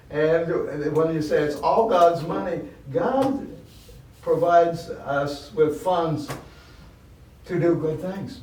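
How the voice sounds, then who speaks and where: A man with a high pitch and lively intonation at a very slow pace, with long, frequent pauses, noticeable background noise and audible room echo. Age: 80s+. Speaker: charity volunteer and board member. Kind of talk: podcast interview.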